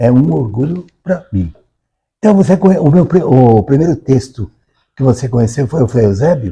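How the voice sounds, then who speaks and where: Medium in pitch, this man's voice has a dark, mellow tone and is somewhat breathy. He talks at a moderate pace with very wide pitch swings. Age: 80s+. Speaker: author. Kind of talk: interview conversation. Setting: recorded at a literary academy. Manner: halting, repeats words.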